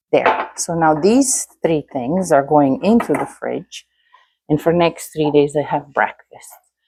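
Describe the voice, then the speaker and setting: Speaking at a fairly slow pace, the voice rises and falls sharply in loudness, recorded dry and close with no echo. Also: woman. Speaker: home cooking youtuber. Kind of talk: cooking tutorial. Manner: casual.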